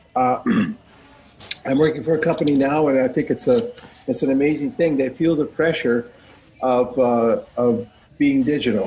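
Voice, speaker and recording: Very even loudness at a moderate pace, with long, frequent pauses and ordinary pitch variation. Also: man, fairly high pitch for a man. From US Midwest. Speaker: scrum master. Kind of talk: casual chat. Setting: video call.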